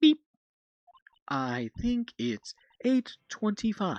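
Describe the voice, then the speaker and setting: In a put-on character voice pitched fairly high, the speaker draws out each word at a very slow pace. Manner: announcing the time.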